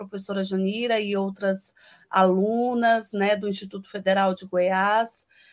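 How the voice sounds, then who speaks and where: At a fairly slow pace, a woman speaks with fairly high pitch and fairly even intonation. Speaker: guest activist. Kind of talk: panel discussion. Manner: hesitant, many fillers.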